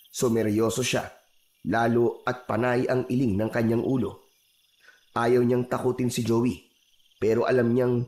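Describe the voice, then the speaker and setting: A man's medium-pitched voice, fairly slow and monotone with flat intonation. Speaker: voiceover narrator. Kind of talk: horror story narration.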